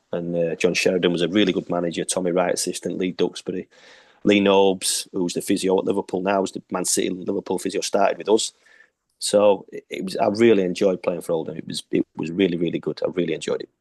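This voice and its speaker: Talking very fast, a man speaks with a Yorkshire accent. The recording is dry and close, with no echo. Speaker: retired footballer. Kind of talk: interview.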